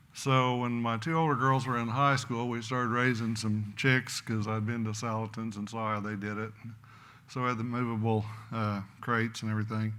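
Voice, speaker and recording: A man with an American accent speaks at a moderate pace and medium pitch, his tone bright and sharp. His intonation stays flat and monotone, and the room echo is audible. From Oklahoma. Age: 70s. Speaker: rancher. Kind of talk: conference talk.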